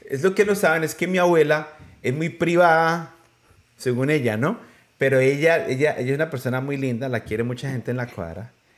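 Moving at a fairly quick pace, a man speaks with a fairly high pitch and ordinary pitch variation. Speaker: podcast host interviewing his grandmother. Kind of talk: casual family interview. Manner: loud, speaking up for hard-of-hearing grandmother.

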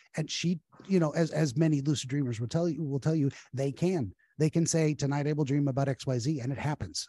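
Very fast, somewhat breathy speech from a man, fairly high-pitched yet dark and mellow in tone, with ordinary pitch variation, recorded dry and close with no echo against a quiet background. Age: 40s. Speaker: dream analyst. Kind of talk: casual chat.

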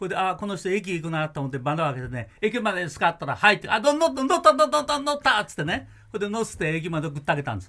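A man's raised, projected voice, high-pitched, bright and sharp, animated, with very wide pitch swings at a very fast pace. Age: 80s+. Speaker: music producer. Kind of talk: casual chat. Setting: studio.

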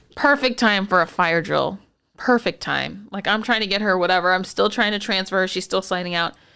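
Very cleanly recorded over a silent background, a woman at medium pitch speaks fairly quickly in a bright, sharp, animated tone with vocal fry and ordinary pitch variation. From Texas, San Antonio. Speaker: podcast co-host, physical therapist. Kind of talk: casual chat.

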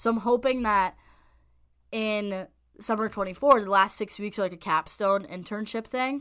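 A woman with an American accent speaks at medium pitch and a moderate pace on a very clean recording with a silent background. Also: ordinary pitch variation. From US Northeast, North Jersey. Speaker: college lacrosse player and journalism student. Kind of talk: casual interview chat.

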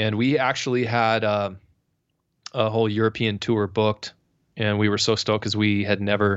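Delivery is at a moderate pace with an American accent. Intonation stays monotone and flat. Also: man. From San Diego, California. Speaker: rock guitarist and singer. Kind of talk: casual interview chat. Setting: remote call.

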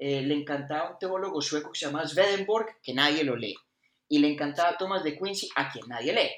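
This man has an unremarkable speaking voice, fairly high in pitch with ordinary pitch variation. He moves at a fairly quick pace. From Colombia (Bogotá / Caldas). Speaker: philosophy podcast co-host. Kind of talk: casual chat.

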